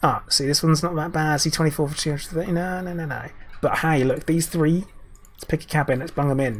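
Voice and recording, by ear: Raspy speech comes at a fairly quick pace with fairly even intonation. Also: man, fairly high pitch for a man.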